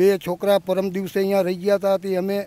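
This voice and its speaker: The voice stays flat and monotone throughout. The sound is dry, with no echo. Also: man. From Gujarat, India. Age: 70s. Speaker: farmer. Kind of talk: testimony. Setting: outdoors in a flooded farm field. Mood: distressed, earnest. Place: farm. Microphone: handheld.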